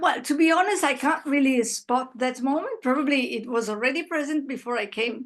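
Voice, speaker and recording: A woman speaks with ordinary pitch variation. Her background is quiet. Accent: Italian. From Italy. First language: Italian. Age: 60s. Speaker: interviewee. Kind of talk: interview. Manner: halting.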